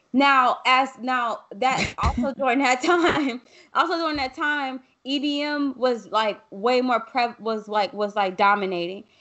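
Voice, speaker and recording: A fairly slow pace with ordinary pitch variation. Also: woman, high pitch for a woman. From US South. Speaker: podcast host. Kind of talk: casual conversation. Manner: unfiltered, emphatic.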